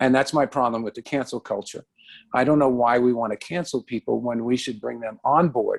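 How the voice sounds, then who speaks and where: Someone with a New York accent speaks at a moderate pace. The sound is dry and close, with no echo. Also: man. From New York, the Bronx. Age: 60s. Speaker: comedian and radio host. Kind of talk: interview. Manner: halting, many fillers and repeats.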